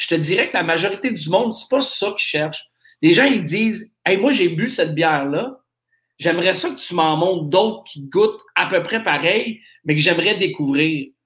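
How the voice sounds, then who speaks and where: At a moderate pace, a man talks in a voice that sits high for a man. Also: lively intonation. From Nova Scotia, Canada. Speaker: craft beer shop owner. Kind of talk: interview. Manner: halting.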